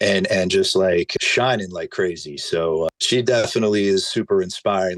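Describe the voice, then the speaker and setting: A moderate pace in a dry, close sound with no echo. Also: man. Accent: New Jersey. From northern New Jersey. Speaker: hot sauce maker. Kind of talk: casual chat.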